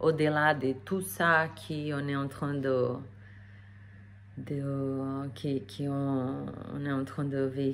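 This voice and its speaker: Amid audible room echo, a woman with a non-native accent and a very deep, low voice speaks very slowly with fairly even intonation and long, frequent pauses. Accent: foreign accent in French. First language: not French (speaking French). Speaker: energy therapist. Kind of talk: casual vlog talk to camera. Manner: hesitant with many fillers.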